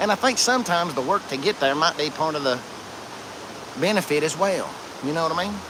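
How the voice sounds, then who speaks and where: Over noticeable background noise, a man with an Appalachian accent talks very fast at a fairly high pitch. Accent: Appalachian Southern US. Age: 40s. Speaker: outdoor live streamer. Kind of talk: casual live stream chat. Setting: outdoors by a creek.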